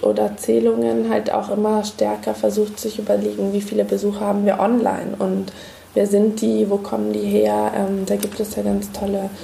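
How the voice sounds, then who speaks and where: A woman at a fairly slow pace amid noticeable background noise and audible room echo. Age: 30s. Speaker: museum researcher and podcast host. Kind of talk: casual chat.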